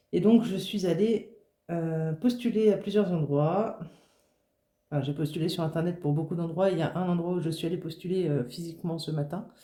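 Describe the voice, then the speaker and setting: Somewhat breathy and dark, mellow in tone, a woman speaks at a moderate pace with a fairly low pitch and ordinary pitch variation. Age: 20s. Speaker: budgeting vlogger. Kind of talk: casual vlog talk to camera. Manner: halting, many fillers.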